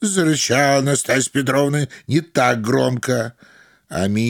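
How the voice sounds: The clip features a natural reading voice.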